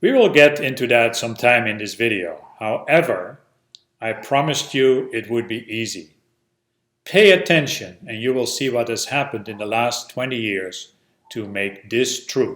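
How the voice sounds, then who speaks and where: A man with a Dutch accent, medium pitch, ordinary pitch variation, a moderate pace and big swings in loudness. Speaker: educational video presenter. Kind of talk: instructional narration.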